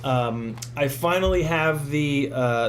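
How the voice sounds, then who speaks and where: Over noticeable background noise and audible room echo, a man talks at a fairly high pitch with ordinary pitch variation. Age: 30s. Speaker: FPV drone YouTuber and livestreamer. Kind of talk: casual livestream Q&A and unboxing. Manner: casual, filler-heavy with many ums and uhs.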